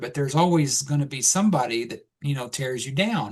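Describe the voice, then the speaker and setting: Against a quiet background, a man with an American accent speaks fairly quickly in a fairly high, somewhat breathy voice with ordinary pitch variation. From Texas. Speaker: podcast guest. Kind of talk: casual chat.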